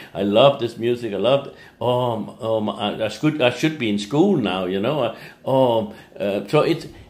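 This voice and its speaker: At a moderate pace, a man speaks with lively intonation and medium pitch. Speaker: English teacher. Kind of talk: motivational talk. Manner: animated.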